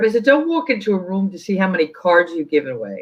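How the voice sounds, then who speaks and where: This is a woman speaking. She has a New York accent. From New York City, Queens. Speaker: sports team community relations executive. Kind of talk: interview conversation.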